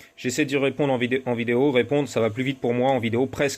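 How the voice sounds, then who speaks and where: Very fast speech from a man at medium pitch. His intonation is monotone and flat. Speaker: moped parts seller and tuner. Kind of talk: casual workshop vlog.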